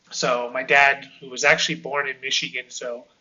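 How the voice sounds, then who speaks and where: This man talks at a moderate pace in an American accent. His pitch sits in the middle range, and his intonation stays flat and monotone. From California. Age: 30s. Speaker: podcast host, ESL teacher. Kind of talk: casual sports podcast monologue. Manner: hesitant, many fillers and restarts.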